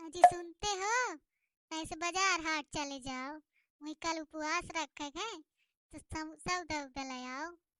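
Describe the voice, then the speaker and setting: A woman puts on a character voice at an extremely high pitch, moving at a moderate pace with big swings in loudness. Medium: comedy sketch. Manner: loud, scolding, sarcastic.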